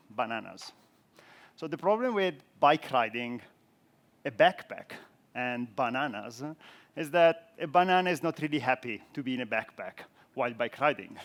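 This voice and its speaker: A man with an Italian accent talks at a moderate pace. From Italy. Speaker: software architect, conference speaker. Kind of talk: conference talk.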